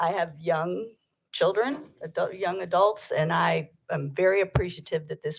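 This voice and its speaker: This is a woman speaking. Her accent is American. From Virginia. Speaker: public commenter, organization representative. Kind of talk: public comment at board meeting. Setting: public board meeting.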